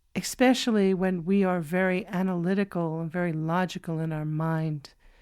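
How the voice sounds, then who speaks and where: On a very clean recording with a silent background, a woman uses an ordinary speaking voice with fairly even intonation at a moderate pace. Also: fairly low pitch for a woman. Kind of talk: spiritual meditation podcast reading.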